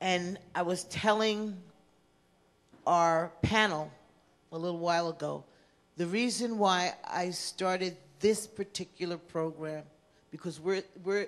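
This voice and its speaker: Against a quiet background, a woman talks at a fairly slow pace with fairly even intonation and long, frequent pauses. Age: 60s. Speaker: housing commissioner and counselor. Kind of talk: conference talk. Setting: conference session with audience.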